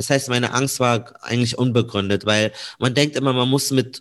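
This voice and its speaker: A man with a normal speaking voice, medium pitch, moderate pace and fairly even intonation. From Munich, Bavaria. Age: 20s. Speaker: radio and TV journalist. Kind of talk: interview.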